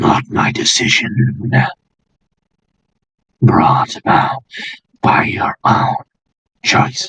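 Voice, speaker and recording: In a put-on character voice at a medium pitch, a man speaks at a very slow pace with long, frequent pauses. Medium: actual play. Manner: cryptic, manipulative.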